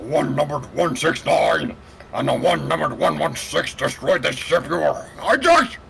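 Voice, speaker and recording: A man does a booming, put-on character voice at a moderate pace over light background noise. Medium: game stream.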